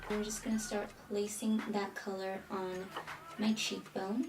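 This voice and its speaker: A woman speaks at a fairly slow pace in a monotone, flat intonation. Audible room echo and noticeable background noise are present. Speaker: beauty vlogger. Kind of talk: tutorial. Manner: casual.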